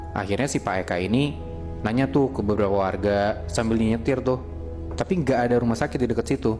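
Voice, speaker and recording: A man's fairly low voice at a very fast pace, with ordinary pitch variation and music in the background. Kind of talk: horror story told in casual podcast chat. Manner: casual, conversational.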